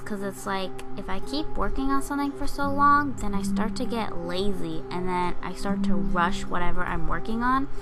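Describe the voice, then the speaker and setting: A woman with very wide pitch swings, audible room echo, and music in the background. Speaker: digital artist. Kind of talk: casual narration over speedpaint. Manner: fast.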